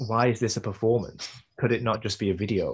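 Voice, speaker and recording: Somewhat breathy, the voice moves at a moderate pace with a British accent. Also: man. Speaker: visual artist and performance maker. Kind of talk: interview conversation. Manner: hesitant, many fillers and repeats. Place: home room. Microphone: video call.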